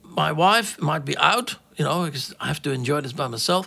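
A man uses a raised, projected voice with very wide pitch swings. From Netherlands. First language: Dutch. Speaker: jazz tour manager and impresario. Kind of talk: interview.

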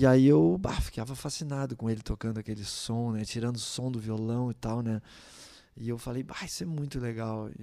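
Speaking at a moderate pace, a man has a dark, mellow tone at medium pitch with ordinary pitch variation. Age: middle-aged. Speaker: musician. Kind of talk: casual chat.

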